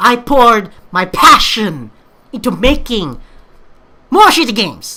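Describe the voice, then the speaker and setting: A woman speaks in a strong Filipino accent at a fairly slow pace. Her tone is bright and sharp, with very wide pitch swings. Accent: thick Filipino. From Philippines. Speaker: YouTuber, amateur game maker. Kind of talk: response video monologue. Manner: animated; halting.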